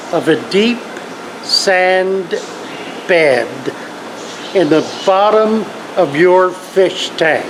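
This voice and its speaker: Over noticeable background noise, the speaker talks at a very slow pace. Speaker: aquarium keeper and fish plant seller. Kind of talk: casual talk to camera.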